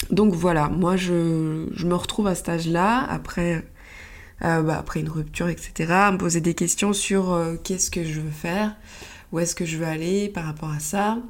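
Audible room echo surrounds a woman speaking in a fairly low pitch with fairly even intonation. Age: 30s. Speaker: podcast host, photographer and phototherapist. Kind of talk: solo monologue podcast. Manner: halting, with many fillers.

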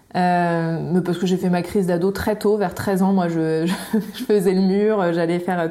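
A woman speaks at a moderate pace. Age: 30s. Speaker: cosmetics entrepreneur and content creator. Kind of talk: interview. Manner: halting.

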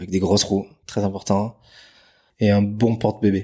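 At a moderate pace, a man speaks at a fairly low pitch in a monotone, flat intonation on a very clean recording with a silent background. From French Basque Country, Bidart. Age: 30s. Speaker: real estate agent, former pro surfer. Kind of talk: interview. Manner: hesitant, many repetitions.

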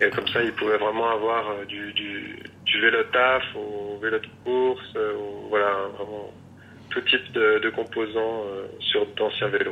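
Noticeable background noise accompanies a man who talks at a very slow pace. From rural France. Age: 30s. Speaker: bicycle frame builder. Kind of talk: interview. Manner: halting.

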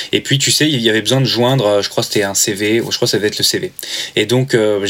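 A man talks very fast at a medium pitch, with ordinary pitch variation. Noticeable background noise sits behind him. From Normandy, France. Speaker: airsoft brand marketing manager. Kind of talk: casual interview.

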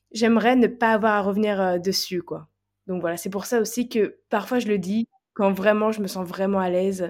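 A woman speaks in an ordinary speaking voice at medium pitch, with fairly even intonation and a moderate pace, on a very clean recording with a silent background. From France. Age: 20s. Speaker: holistic coach. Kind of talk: testimony.

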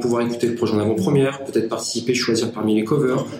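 There is noticeable background noise and audible room echo as a man speaks at a very fast pace. His pitch variation is ordinary. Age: 20s. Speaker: founder of a digital strategy agency. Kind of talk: interview.

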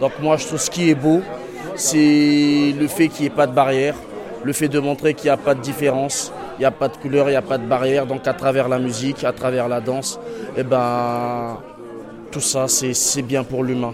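Through noticeable background noise, a man at a medium pitch talks at a moderate pace with fairly even intonation. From Congo and Senegal. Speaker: prison inmate. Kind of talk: interview.

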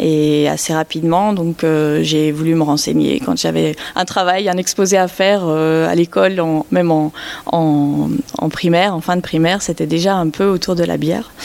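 A woman's fairly low voice at very even loudness over noticeable background noise. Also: ordinary pitch variation, moderate pace. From Belgium. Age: 30s. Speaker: craft brewer. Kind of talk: interview.

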